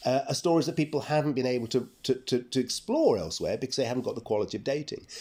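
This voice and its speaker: Speaking very fast, a man with a London accent has a dark, mellow tone. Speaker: archaeologist and professor. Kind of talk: interview. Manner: halting.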